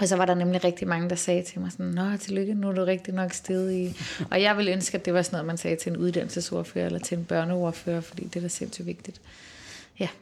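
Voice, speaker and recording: A woman talks at a very fast pace in a fairly low voice. Her intonation is monotone and flat. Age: 30s. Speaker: politician. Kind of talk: casual chat. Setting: office.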